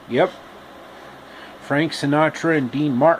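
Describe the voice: Speaking at a fairly slow pace, a man with a fairly high voice keeps his intonation fairly even.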